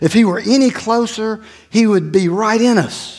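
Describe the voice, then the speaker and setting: In a room with audible echo, a man talks at a high pitch and a very slow pace. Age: 50s. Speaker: pastor. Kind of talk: sermon.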